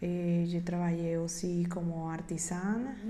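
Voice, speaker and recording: A woman with a dark, mellow tone and medium pitch talks at a very slow pace, somewhat breathy, with audible room echo. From Venezuela. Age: 30s. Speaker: migrant, graphic designer. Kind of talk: testimony.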